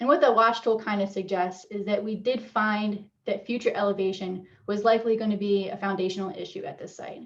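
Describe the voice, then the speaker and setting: A woman's medium-pitched voice at a fairly quick pace, with fairly even intonation, hardly any pauses and big swings in loudness. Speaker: wetland scientist presenter. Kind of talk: webinar presentation. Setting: video call webinar. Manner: fast; hesitant, many fillers.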